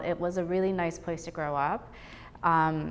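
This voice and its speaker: A woman speaks at a moderate pace in a fairly low voice. Her intonation stays fairly even. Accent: Boston. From Boston area (Brookline), moved from Taiwan as young child. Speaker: gallery owner. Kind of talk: interview. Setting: art gallery.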